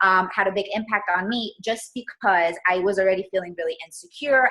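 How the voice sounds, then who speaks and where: Speaking at a fairly quick pace with a Spanish accent, a woman uses a bright, sharp tone at a medium pitch with fairly even intonation. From Colombia, moved to US at eight. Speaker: entrepreneur and stylist. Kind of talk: interview.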